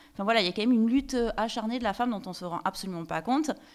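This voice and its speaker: The recording is very clean, with a silent background. A woman speaks with a slight Vaud accent and ordinary pitch variation. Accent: slight Swiss (Vaud). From Switzerland, canton of Vaud. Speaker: singer, actress and film director. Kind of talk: interview. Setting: TV talk show studio. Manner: fast, rapid-fire when passionate.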